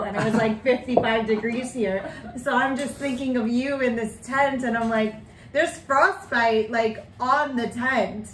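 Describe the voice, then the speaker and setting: Over noticeable background noise, a woman talks fairly slowly in an upbeat tone, her high pitch showing ordinary variation. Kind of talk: podcast host casual talk.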